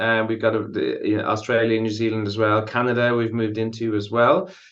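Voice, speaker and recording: A man speaks fairly quickly at a medium pitch with fairly even intonation. The room echo is audible. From Ireland. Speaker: contracts consultant. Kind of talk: podcast interview. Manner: frequent fillers.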